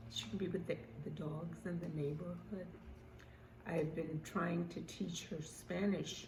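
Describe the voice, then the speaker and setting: Against noticeable background noise, a woman speaks at a fairly slow pace and a fairly low pitch. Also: ordinary pitch variation. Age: 80s+. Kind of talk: casual talk to camera.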